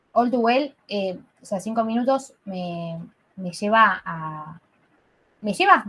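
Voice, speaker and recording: The intonation is lively. Loudness swings widely. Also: woman. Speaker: podcast co-host. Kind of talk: casual chat.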